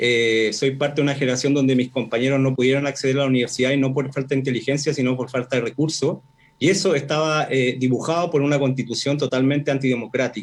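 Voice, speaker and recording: A medium-pitched man at a very fast pace with hardly any pauses, very even loudness and fairly even intonation. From northern Chile, Arica. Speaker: professor and constitutional candidate. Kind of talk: radio interview.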